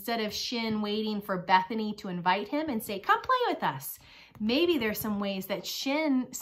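Someone reads in a natural voice with lively intonation.

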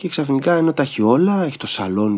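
A fairly quick-paced man's voice. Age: 50s. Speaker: stage and screen actor; screen actor. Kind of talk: casual chat. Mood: reflective. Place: studio. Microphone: studio mic.

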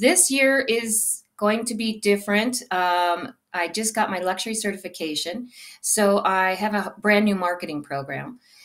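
A woman with an American accent has an ordinary speaking voice, medium in pitch with ordinary pitch variation. She speaks at a fairly slow pace against a quiet background. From Arizona. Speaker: real estate agent. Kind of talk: interview. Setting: live video stream. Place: home room. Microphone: webcam.

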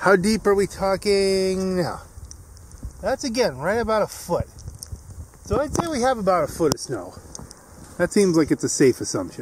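The speech moves at a moderate pace with long, frequent pauses. The sound is dry with no echo, over light background noise. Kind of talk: casual vlog commentary. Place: garden. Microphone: phone near.

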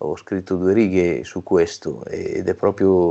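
The background stays quiet. The man's pitch sits very deep and low. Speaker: regional rugby federation president and winemaker. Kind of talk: interview. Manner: hesitant, many fillers. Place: home room. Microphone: earbuds.

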